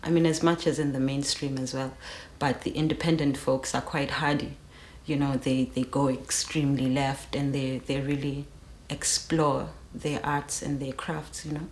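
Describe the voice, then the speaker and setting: In a South African accent, a woman speaks at a very deep, low pitch and a moderate pace. Her tone is relaxed and her intonation monotone and flat. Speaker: rapper. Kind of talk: interview. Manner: relaxed, many fillers.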